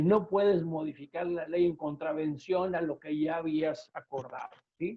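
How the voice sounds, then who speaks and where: His voice sits high for a man. The man keeps his intonation fairly even. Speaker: labor lawyer. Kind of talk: webinar presentation. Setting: online webinar. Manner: fast.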